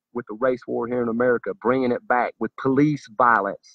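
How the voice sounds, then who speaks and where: Here a man speaks with a Southern US accent. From US South. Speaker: political commentator. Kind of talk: monologue. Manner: animated.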